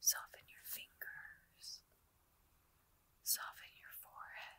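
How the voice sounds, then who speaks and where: A woman's whispering at a very slow pace, soothing in tone. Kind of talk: ASMR sleep meditation, guided relaxation. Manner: whispered, slow, soothing.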